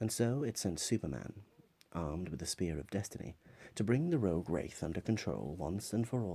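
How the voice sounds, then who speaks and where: A man with a very deep, low pitch and a dark, mellow tone speaks at a moderate pace. His intonation is lively, with vocal fry. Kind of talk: ASMR comic synopsis narration.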